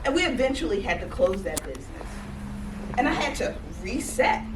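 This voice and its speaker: In a room with audible echo and noticeable background noise, a woman speaks at a fairly slow pace in an animated tone with very wide pitch swings. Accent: American. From Georgia, US South. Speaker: life coach, conference speaker. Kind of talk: motivational talk.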